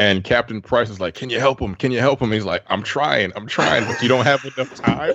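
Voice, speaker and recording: Delivered at a fairly quick pace with hardly any pauses and ordinary pitch variation, this is a normal speaking voice. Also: man, medium pitch for a man. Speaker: podcast co-host. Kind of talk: casual chat. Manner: casual, profane.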